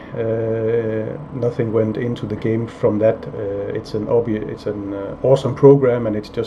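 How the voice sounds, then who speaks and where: A man talks at a moderate pace with a medium pitch. Noticeable background noise is present, and his intonation stays fairly even. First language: not English (English is third or later language). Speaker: indie game developer, YouTuber. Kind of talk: casual vlog, answering viewer comments. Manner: flat, low-energy delivery; hesitant, many fillers.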